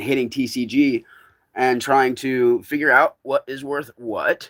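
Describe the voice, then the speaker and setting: Fairly even intonation in a man's medium-pitched voice. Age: 40s. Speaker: live streamer. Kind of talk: casual chat. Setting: outdoors. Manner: loud.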